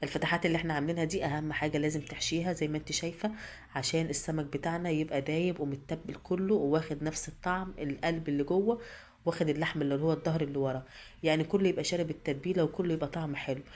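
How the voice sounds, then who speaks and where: Speaking very fast with fairly even intonation, a woman with an Egyptian accent has a very deep, low voice. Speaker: cooking channel host. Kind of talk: cooking tutorial. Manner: halting, repeats words.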